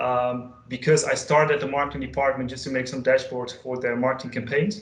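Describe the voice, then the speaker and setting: Someone with a Dutch accent talks at a fairly quick pace with fairly even intonation, and room echo is audible. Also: man. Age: 20s. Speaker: data consultant and trainer; trainer. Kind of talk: online training session; presentation self-introduction. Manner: halting, many fillers. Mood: friendly, relaxed. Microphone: video call.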